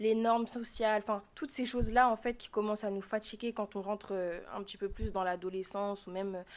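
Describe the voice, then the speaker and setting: A woman's fairly high voice at a fairly quick pace, fairly even in intonation, in a very clean recording with a silent background. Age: 20s. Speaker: student podcaster. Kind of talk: casual monologue podcast. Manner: casual, with many filler hesitations.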